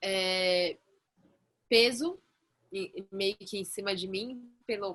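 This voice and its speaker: A woman's bright, sharp voice with lively intonation, very cleanly recorded against a silent background. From Belém, Pará, northern Brazil. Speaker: actress. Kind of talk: casual panel discussion.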